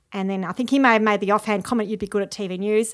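A woman with an Australian accent speaks with ordinary pitch variation in a very clean recording with a silent background. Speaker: TV news journalist. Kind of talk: casual interview. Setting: at her old school.

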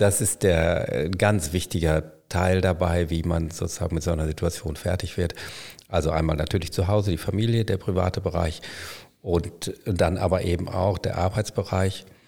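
A man speaks at a moderate pace with a very deep, low pitch and a dark, mellow tone. His intonation is fairly even, and the recording is very clean with a silent background. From Germany, Münster (Westphalia). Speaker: hospital physician, former anaesthetist. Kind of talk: casual interview. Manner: hesitant, many fillers.

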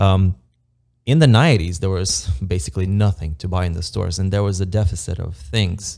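A man with an Eastern European accent speaks at a fairly quick pace in a very deep, low voice, on a very clean recording with a silent background. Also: ordinary pitch variation. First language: Romanian. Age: 30s. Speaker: immigrant construction project manager. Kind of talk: casual podcast interview.

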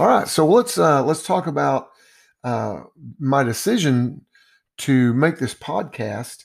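Lively intonation marks this man's medium-pitched voice. He goes at a very slow pace, with long, frequent pauses. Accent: Texan. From Texas, Dallas. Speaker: basketball coach. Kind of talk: podcast monologue. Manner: hesitant, many fillers.

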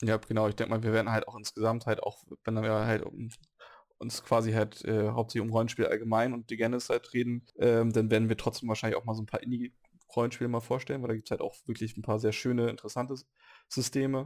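A man at a medium pitch talks at a very fast pace with monotone, flat intonation. The recording is very clean, the background silent. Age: 30s. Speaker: podcast host, role-playing gamer. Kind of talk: casual chat.

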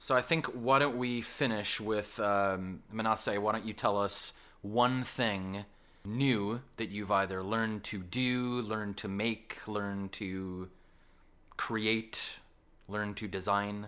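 A man with a Canadian accent speaks at a very slow pace in a bright, sharp tone, his fairly low pitch kept to fairly even intonation, in a very clean recording with a silent background. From Canada. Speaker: school science teacher and podcast host. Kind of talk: casual podcast chat.

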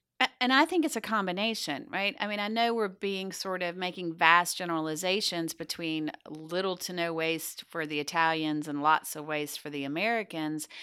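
A woman with a Southern US accent speaks at a moderate pace in a fairly low pitch with a bright, sharp tone, ordinary pitch variation and hardly any pauses, on a very clean recording with a silent background. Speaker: podcast co-host, business coach. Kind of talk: casual chat, podcast conversation.

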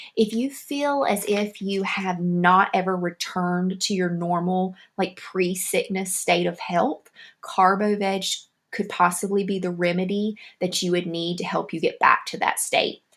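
A woman with a Southern US accent speaks fairly slowly at a medium pitch with fairly even intonation. The recording is very clean, with a silent background. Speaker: homeopathy podcaster. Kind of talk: educational monologue podcast. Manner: friendly, explanatory.

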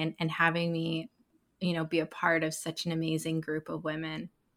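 Fairly low in pitch, a woman speaks at a fairly quick pace. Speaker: podcast host, branding expert. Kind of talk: interview conversation.

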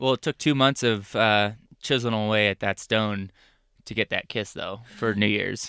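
A man with an American accent talks at a moderate pace in a normal speaking voice, fairly low in pitch with fairly even intonation. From Arizona. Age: 30s. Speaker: van life podcast co-host. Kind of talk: casual chat. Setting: inside a camper van.

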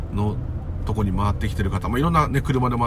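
Speech at a very fast pace is heard over noticeable background noise. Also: man. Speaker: care worker and spiritual podcaster. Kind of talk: casual monologue. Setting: walking home outdoors.

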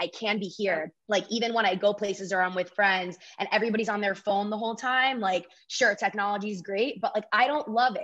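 Speaking at a fairly quick pace, a woman with an American accent uses an unremarkable speaking voice. Her pitch is medium and her intonation fairly even. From Florida. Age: 20s. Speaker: author. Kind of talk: interview.

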